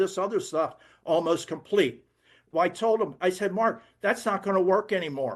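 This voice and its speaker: A man with an American accent speaks at a moderate pace in a high voice, his pitch varying in an ordinary way against a quiet background. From Philadelphia, US. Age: 80s+. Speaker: network marketing distributor. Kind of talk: sales pitch. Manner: animated.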